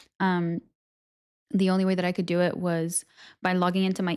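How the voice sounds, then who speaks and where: A woman talks at a fairly quick pace in a fairly low pitch with fairly even intonation, recorded very cleanly against a silent background. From Portugal. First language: Portuguese. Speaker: streamer. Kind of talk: casual chat. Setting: live stream. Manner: fast.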